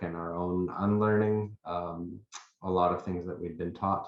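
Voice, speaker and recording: Man with a very deep, low pitch and a monotone, flat intonation. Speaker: researcher. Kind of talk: webinar presentation.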